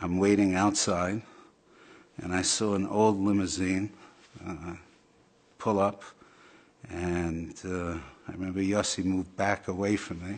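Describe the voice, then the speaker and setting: A man with a very deep, low pitch, monotone, flat intonation, a fairly slow pace, and long, frequent pauses. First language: Yiddish. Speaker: storyteller sharing personal memory. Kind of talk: testimony.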